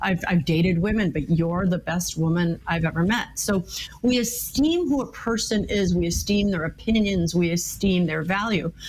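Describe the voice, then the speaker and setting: Someone with an American accent talks at a moderate pace with ordinary pitch variation over noticeable background noise. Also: woman, fairly low pitch for a woman. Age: 60s. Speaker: marriage and communication expert, author. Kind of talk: interview.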